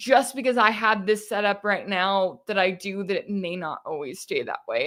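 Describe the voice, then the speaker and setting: With a slight Texas accent, a woman speaks at a medium pitch with fairly even intonation on a very clean recording against a silent background. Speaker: independent news commentator. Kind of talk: live-stream Q&A. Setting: live stream from home. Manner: casual, conversational.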